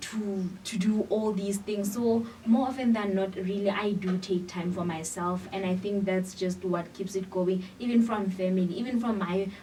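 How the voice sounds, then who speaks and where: A woman speaks at a medium pitch with fairly even intonation and hardly any pauses. Noticeable background noise and audible room echo surround her voice. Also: moderate pace. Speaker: university student. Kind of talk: interview. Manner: halting.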